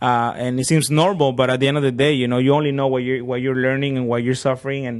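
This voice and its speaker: With a Spanish accent, a man speaks very fast at medium pitch in a flat monotone, with hardly any pauses. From Acapulco, Mexico. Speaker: DJ, sports broadcaster and business owner. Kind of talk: podcast interview. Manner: code-switching between Spanish and English.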